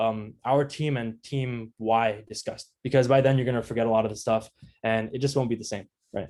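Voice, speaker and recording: Medium-pitched and fairly even in intonation, a man speaks at a fairly quick pace. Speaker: product manager, guest speaker. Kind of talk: online talk giving career tips. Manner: fast; casual, filler-heavy.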